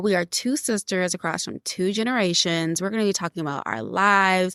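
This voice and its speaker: A woman with an American accent talks at a moderate pace and medium pitch in an unremarkable speaking voice. The recording is very clean, with a silent background and a dry, close sound with no echo. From Houston, Texas. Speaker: podcast co-host. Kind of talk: casual chat.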